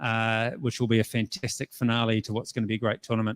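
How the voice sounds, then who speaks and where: In a very clean recording with a silent background, the man's fairly quick speech sounds dry and close with no echo. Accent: New Zealand. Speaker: tournament organiser. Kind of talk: conference presentation. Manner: fast.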